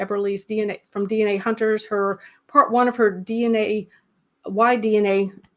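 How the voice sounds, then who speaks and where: With a Southern US accent, a woman speaks at a fairly high pitch with fairly even intonation. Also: very clean recording, silent background. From US South. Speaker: genealogy channel host. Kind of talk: live stream interview. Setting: live stream. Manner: casual, many fillers.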